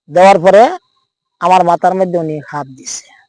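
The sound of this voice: A man speaks at a fairly quick pace with a slightly mellow tone. His pitch is high for a man and his intonation fairly even. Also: dry, close sound with no echo.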